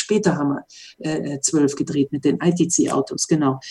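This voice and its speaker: A woman speaks at a moderate pace with a dark, mellow, somewhat breathy tone. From western Germany, Mönchengladbach. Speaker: former racing driver. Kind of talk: interview.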